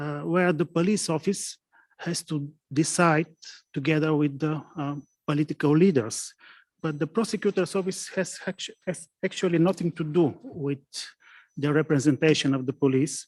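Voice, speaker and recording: In a non-native accent, a man with a fairly high pitch speaks at a moderate pace with ordinary pitch variation, the sound dry and close with no echo. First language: not English. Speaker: prosecutor. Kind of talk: conference presentation. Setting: conference with interpreters and online participants. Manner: halting.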